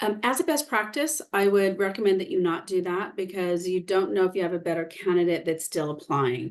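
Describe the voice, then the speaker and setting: A woman speaks at a medium pitch and a moderate pace with ordinary pitch variation. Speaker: HR expert presenter. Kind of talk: webinar Q&A answers. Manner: hesitant, many fillers.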